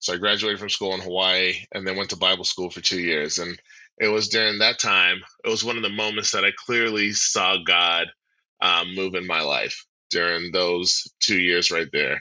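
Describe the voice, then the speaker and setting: With an American accent, a man speaks at a moderate pace in a very deep, low voice with fairly even intonation. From US, military family (New Jersey, Kansas, Germany). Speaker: pastor. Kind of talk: casual chat.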